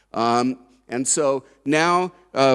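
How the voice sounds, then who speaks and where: A man with an American accent and ordinary pitch variation, on a very clean recording against a silent background. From United States. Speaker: corporate industry expert. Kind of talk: conference talk. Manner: hesitant, many fillers.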